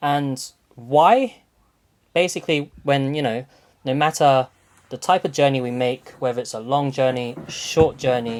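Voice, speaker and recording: At a fairly slow pace, a man with a fairly high pitch speaks with fairly even intonation and long, frequent pauses. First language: not English. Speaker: podcast host. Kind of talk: casual chat. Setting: call.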